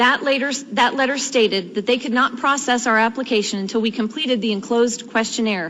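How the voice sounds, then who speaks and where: A woman speaks fairly quickly at a high pitch. Her intonation stays fairly even over noticeable background noise. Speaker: tea party activist. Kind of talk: congressional testimony. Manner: calm, matter-of-fact.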